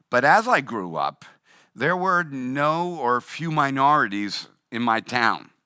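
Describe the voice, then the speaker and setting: Speaking very slowly in a Boston accent, a man has a fairly high pitch, lively intonation and a bright, sharp tone. The recording is very clean, with a silent background. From Boston, US Northeast. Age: 60s. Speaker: pastor. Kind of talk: sermon.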